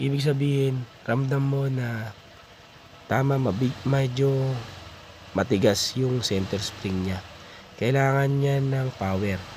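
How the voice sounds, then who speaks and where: Against noticeable background noise, a man talks at a very slow pace with long, frequent pauses and ordinary pitch variation. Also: medium pitch for a man. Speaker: motorcycle vlogger. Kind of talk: tutorial. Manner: halting, many fillers.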